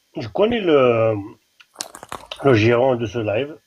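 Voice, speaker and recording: A man's medium-pitched voice comes through at a very slow pace. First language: Kabyle (speaking French). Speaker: caller. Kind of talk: casual chat. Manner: halting.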